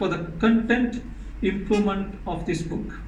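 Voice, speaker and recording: A man with a high pitch and a Tamil accent, at a fairly slow pace, with audible room echo and noticeable background noise. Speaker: author. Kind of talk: speech at book launch.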